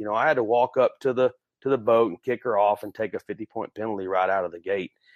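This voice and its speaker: Dry and close with no echo against a quiet background, a man's medium-pitched voice runs at a fairly quick pace with fairly even intonation. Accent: Texan. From Central Texas. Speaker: professional dog handler. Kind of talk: interview.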